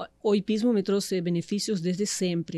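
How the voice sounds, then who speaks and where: A woman with a Uruguayan accent, dark, mellow tone, fairly even intonation and moderate pace. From Uruguay, Montevideo. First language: Spanish (speaking Portuguese). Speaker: meditation and mindset coach. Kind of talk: podcast interview.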